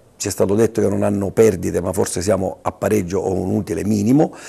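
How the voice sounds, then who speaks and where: A man talks at a fairly quick pace in a fairly low pitch with ordinary pitch variation. His tone is dark and mellow, with vocal fry. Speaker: local politician. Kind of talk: interview answers.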